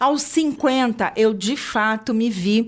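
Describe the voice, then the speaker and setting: A woman speaks in a normal speaking voice with ordinary pitch variation. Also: very clean recording, silent background. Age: 60s. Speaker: podcast host, HR consultant. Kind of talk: interview podcast.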